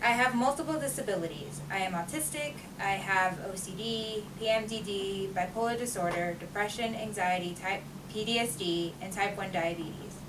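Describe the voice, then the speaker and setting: Amid noticeable background noise and audible room echo, a woman speaks at a moderate pace and a medium pitch with ordinary pitch variation. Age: 20s. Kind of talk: prepared speech read aloud. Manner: loud, repeats herself.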